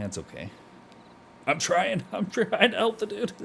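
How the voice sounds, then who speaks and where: A man's bright, sharp tone with vocal fry, at a moderate pace. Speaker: streamer playing a roleplay game. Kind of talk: casual gameplay chat. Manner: halting, many fillers and repeats; laid back.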